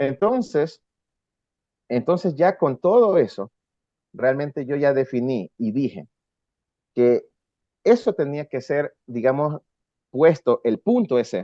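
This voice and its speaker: This man's voice sits fairly high and has a dark, mellow tone, with very wide pitch swings. He speaks at a very slow pace with long, frequent pauses. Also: dry, close sound with no echo. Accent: coastal Ecuadorian. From Ecuador, coast (Guayaquil). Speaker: rock musician. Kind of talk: interview.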